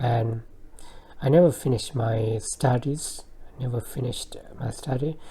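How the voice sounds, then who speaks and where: A woman with a very deep, low pitch and a dark, mellow, somewhat breathy tone talks at a moderate pace with fairly even intonation and long, frequent pauses. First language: not English. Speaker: vlogger. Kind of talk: personal monologue. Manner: halting.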